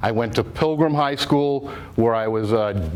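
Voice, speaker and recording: In a Rhode Island accent, a man talks fairly slowly at a medium pitch with ordinary pitch variation. Noticeable background noise can be heard. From Rhode Island, Warwick. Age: 60s. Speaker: quahogger (shellfish digger). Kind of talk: public talk. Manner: halting.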